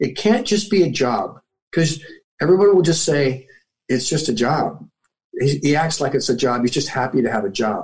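A somewhat breathy man at a fairly high pitch, with lively intonation and a moderate pace. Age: 60s. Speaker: military veteran and motivational speaker. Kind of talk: interview.

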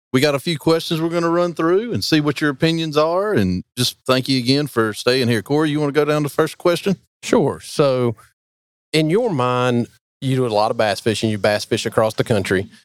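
A man with a normal speaking voice talks at a fairly quick pace, fairly high in pitch with lively intonation, in a dry, close sound with no echo on a very clean recording with a silent background. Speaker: fisheries biologist and podcast host. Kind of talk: casual interview. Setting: backstage at a fishing tournament event.

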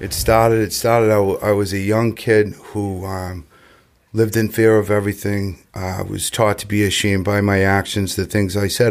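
Speaking in an American accent, a man keeps a moderate pace. His fairly low voice is monotone and flat. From Massachusetts, south of Boston. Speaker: recovering alcoholic sharing his story. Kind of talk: recovery testimony in casual podcast chat. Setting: recovery center.

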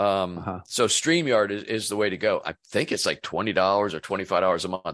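A man's normal speaking voice, fairly low in pitch, with an American accent, lively intonation, a moderate pace and a quiet background. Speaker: business coach. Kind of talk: casual interview chat.

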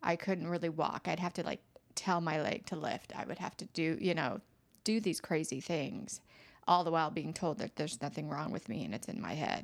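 A woman's fairly low-pitched voice with ordinary pitch variation and a fairly quick pace, a plain, everyday voice, on a very clean recording with a silent background. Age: 50s. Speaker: esthetician and chronic illness patient. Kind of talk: casual interview.

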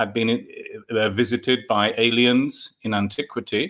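A man with a London accent speaks at a medium pitch and a fairly slow pace. His tone is bright and sharp, his intonation monotone and flat. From London, England. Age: 50s. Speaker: author and UFO folklore researcher. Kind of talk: interview. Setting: remote call.

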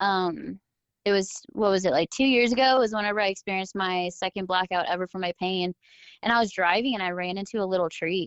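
Against a quiet background, a woman speaks at a fairly quick pace in an ordinary speaking voice, medium in pitch with ordinary pitch variation. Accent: American. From Southern California. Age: 20s. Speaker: adaptive athlete. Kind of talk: casual chat.

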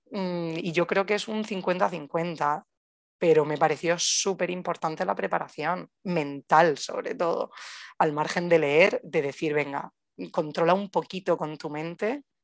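On a dry, close recording with no echo and a quiet background, a woman talks with ordinary pitch variation. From Spain, Murcia. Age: 30s. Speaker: new mother sharing birth story. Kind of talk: personal testimony interview. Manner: animated.

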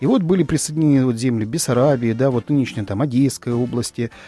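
With a dark, mellow tone at medium pitch, a man talks with ordinary pitch variation in a dry, close sound with no echo. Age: 40s. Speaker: political emigrant, guest. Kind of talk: radio talk show. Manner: halting, many fillers.

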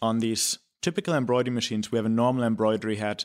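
On a very clean recording with a silent background, a man speaks at a fairly quick pace in a medium pitch. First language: German. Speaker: company president. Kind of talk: interview. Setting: studio.

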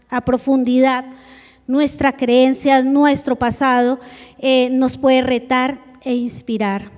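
A woman talks very slowly in a high pitch with a monotone, flat intonation. There is noticeable background noise. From Colombia, Bogotá. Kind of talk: church presentation.

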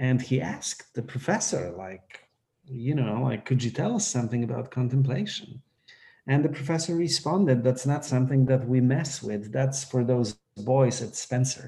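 At a moderate pace, a man talks in a medium pitch with a dark, mellow, somewhat breathy tone and ordinary pitch variation. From Poland. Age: 40s. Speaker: priest. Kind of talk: casual chat.

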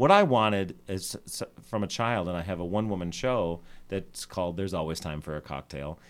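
Fairly quick and lively in intonation, a man with an American accent and a fairly low pitch speaks in an ordinary speaking voice. The recording is very clean with a silent background. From Scranton, Pennsylvania. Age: 40s. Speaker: drag queen and reality show contestant. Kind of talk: casual interview chat. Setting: radio studio interview.

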